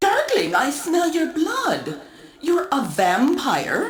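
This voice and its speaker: A put-on character voice at an extremely high pitch moves at a very slow pace, with a slight echo. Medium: video game. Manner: stilted, flat delivery.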